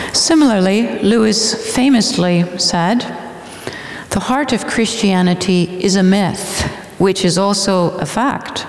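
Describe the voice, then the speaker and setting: Audible room echo surrounds a woman speaking at a very slow pace. Her pitch shows ordinary variation. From Canada. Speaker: literature scholar and speaker; guest lecturer. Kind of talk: lecture. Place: church. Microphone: headset.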